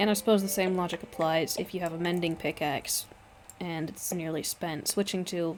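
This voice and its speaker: A soft-spoken woman's voice, fairly low in pitch. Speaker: gaming streamer. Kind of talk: gameplay commentary.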